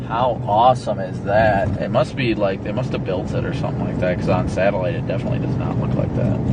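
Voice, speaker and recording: A man talking at a very fast pace with hardly any pauses, amid audible room echo and noticeable background noise. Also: medium pitch for a man, ordinary pitch variation. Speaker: storm chaser live streamer. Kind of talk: live stream chat while driving.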